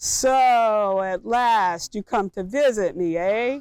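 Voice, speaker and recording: On a very clean recording with a silent background, a woman does a hissing, put-on character voice at medium pitch, with ordinary pitch variation and a very slow pace. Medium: read story.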